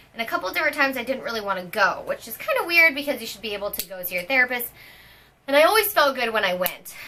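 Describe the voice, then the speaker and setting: A woman's high, very fast voice with very wide pitch swings and big swings in loudness, over noticeable background noise. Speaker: fitness coach and vlogger. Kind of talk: personal vlog.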